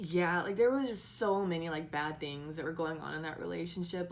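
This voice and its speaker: Heard amid noticeable background noise and audible room echo, a woman talks at a fairly quick pace in a fairly low voice. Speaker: vlogger and part-time model. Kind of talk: casual vlog storytelling. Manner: loud; animated.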